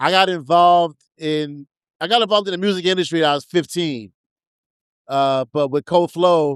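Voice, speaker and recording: Speech in a New York accent moves at a moderate pace with ordinary pitch variation. The sound is dry and close, with no echo. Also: man, high pitch for a man. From New York, the Bronx. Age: 50s. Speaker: hip hop DJ. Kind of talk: interview. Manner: halting.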